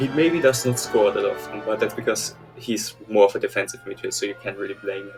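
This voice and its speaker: A man at a fairly quick pace over music in the background. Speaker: football commentary YouTuber. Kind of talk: casual opinion talk to camera.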